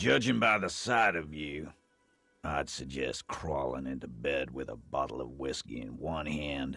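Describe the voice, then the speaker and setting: A raspy, put-on character voice speaks at a moderate pace with faint music in the background. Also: man, very deep, low pitch for a man, ordinary pitch variation. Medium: video game. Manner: gruff, blunt.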